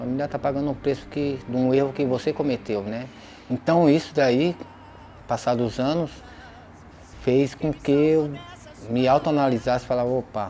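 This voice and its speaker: Amid noticeable background noise, a man with a medium pitch talks at a moderate pace with fairly even intonation and long, frequent pauses. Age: 40s. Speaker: former prisoner. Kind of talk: testimony.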